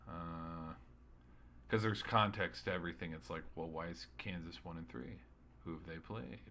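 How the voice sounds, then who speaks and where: In a room with audible echo, a man with a very deep, low pitch, a bright, sharp tone and vocal fry speaks with ordinary pitch variation, big swings in loudness and long, frequent pauses. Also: moderate pace. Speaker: sports streamer. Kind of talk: solo sports recap podcast. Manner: halting, stuttering; casual, rambling.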